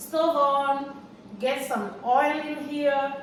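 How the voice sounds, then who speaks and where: There is audible room echo and noticeable background noise. A woman talks at a high pitch. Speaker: home cook, cooking channel host. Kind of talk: cooking tutorial. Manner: halting, with fillers and repetitions.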